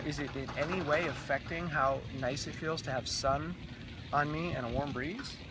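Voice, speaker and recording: Recorded with audible room echo and noticeable background noise, a man speaks at a fairly high pitch. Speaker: raw food runner and vlogger. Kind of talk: casual interview. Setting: outdoors in the sunshine. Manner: halting.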